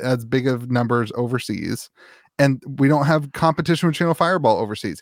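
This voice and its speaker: Using an ordinary speaking voice, a man with a fairly high pitch and ordinary pitch variation talks at a fairly quick pace on a very clean recording with a silent background. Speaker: podcast co-host. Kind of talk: casual banter. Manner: laughs often, jokey.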